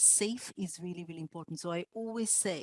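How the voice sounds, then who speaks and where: A woman with an Indian accent, fairly low pitch, ordinary pitch variation and moderate pace, in a dry, close sound with no echo. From India, Mumbai. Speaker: podcaster. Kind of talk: panel discussion.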